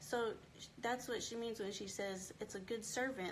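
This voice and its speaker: A woman's somewhat breathy, fairly high-pitched voice. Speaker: homeschooling book club host. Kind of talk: live book club discussion. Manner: animated.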